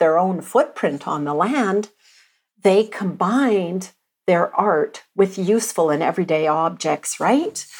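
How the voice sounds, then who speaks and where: A woman with a Canadian accent and an unremarkable speaking voice talks at a fairly slow pace in a very clean recording with a silent background. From Alberta, Canada. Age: 50s. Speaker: visual artist. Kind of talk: interview.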